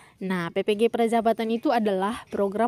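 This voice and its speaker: On a very clean recording with a silent background, a woman with a dark, mellow tone speaks at a moderate pace and fairly even intonation, the sound dry and close with no echo. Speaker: education YouTuber. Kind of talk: tutorial. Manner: quiet.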